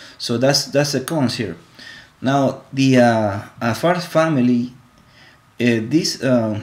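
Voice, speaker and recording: With a Spanish accent, a man speaks at a very slow pace and medium pitch, using ordinary pitch variation and long, frequent pauses. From Ecuador. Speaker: college student. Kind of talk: class presentation. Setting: live stream. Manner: halting, many fillers and repetitions.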